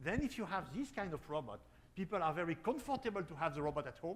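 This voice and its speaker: A man with a French accent speaks fairly quickly in a high voice. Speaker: robotics company founder. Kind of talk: panel discussion. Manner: halting.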